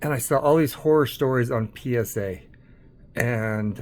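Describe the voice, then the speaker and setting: Speaking with an American accent, a man uses a medium pitch and ordinary pitch variation. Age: 60s. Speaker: card collector YouTuber. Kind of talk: casual vlog monologue. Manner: hesitant, many fillers.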